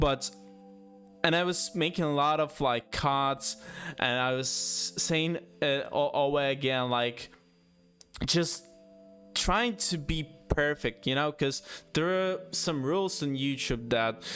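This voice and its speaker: Over music in the background, a man with a fairly high voice and ordinary pitch variation speaks at a very slow pace, with long, frequent pauses. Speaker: YouTuber. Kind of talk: casual monologue. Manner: halting, many pauses.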